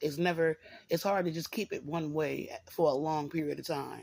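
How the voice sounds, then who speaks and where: This woman has a very deep, low pitch with vocal fry and ordinary pitch variation. She talks at a fairly slow pace on a very clean recording with a silent background. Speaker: vlogger sharing faith journey. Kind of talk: personal vlog monologue. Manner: halting.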